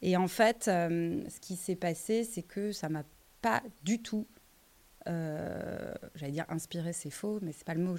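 Talking at a fairly slow pace, a woman uses a fairly low pitch with ordinary pitch variation. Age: 30s. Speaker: entrepreneur. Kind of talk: interview. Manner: halting.

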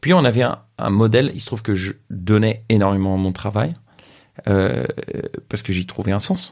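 A man talks at a moderate pace with long, frequent pauses. His pitch is fairly low, with ordinary variation. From France. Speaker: social entrepreneur. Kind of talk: casual interview conversation.

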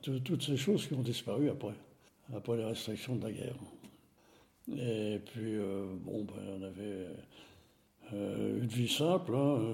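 Somewhat breathy and medium-pitched, a man talks at a very slow pace with ordinary pitch variation and long, frequent pauses, while audible room echo surrounds him. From France, Nevers. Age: 80s+. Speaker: retired engineer. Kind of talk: testimony. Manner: halting.

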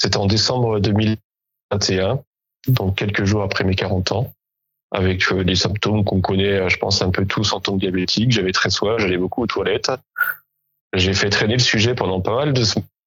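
A man speaks in an ordinary speaking voice at a fairly low pitch. His pace is moderate and his loudness very even. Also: fairly even intonation. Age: 40s. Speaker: amateur athlete with type 1 diabetes. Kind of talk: interview.

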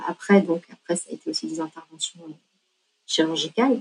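Fairly quick speech from a woman with lively intonation. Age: 40s. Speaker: patient sharing her story. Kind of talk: testimony. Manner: halting, frequent repetitions and hesitations.

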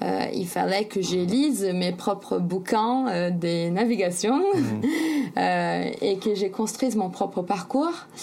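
Speaking with hardly any pauses, the woman has a medium pitch, lively intonation and very even loudness. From Brazil, São Paulo. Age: 20s. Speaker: sailor and author. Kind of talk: interview. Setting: remote call. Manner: hesitant, many fillers.

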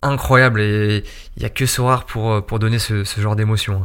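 Speaking at a fairly slow pace, a man keeps his medium-pitched voice fairly even in intonation. He has an ordinary speaking voice. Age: 20s. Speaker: fantasy football player. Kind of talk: interview. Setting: office.

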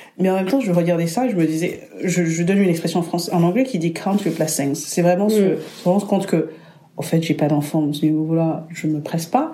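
Against audible room echo, a woman with a fairly low pitch talks at a fairly quick pace, her loudness very even. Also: ordinary pitch variation. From Burundi. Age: 30s. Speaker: guest, hospitality worker. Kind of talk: casual chat.

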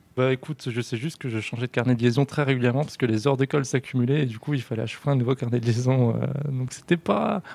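The man's intonation is fairly even. He talks at a very fast pace. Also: medium pitch for a man, dry, close sound with no echo. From France, Grand Est near German border. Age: 20s. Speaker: digital transformation manager. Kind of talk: interview. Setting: coworking space.

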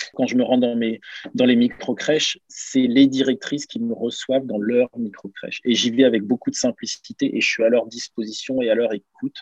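A man talks at a moderate pace in a dry, close sound with no echo. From Normandy, France (Caen), then Lens area from 14. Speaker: former pro footballer, daycare entrepreneur. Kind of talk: interview.

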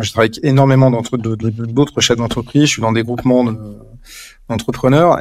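Fairly even intonation at a fairly quick pace. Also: man. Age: 50s. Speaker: communication agency director. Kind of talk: interview. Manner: halting.

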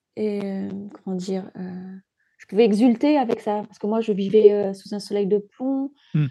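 A woman with a dark, mellow tone and medium pitch speaks at a moderate pace, her loudness swinging widely, with ordinary pitch variation and long, frequent pauses. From Djibouti. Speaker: novelist. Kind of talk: interview. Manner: halting. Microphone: crackling sound at times.

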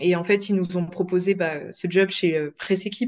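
A woman's fairly low pitch carries fairly even intonation. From France. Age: 20s. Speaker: process engineer. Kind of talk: interview. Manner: hesitant, many fillers.

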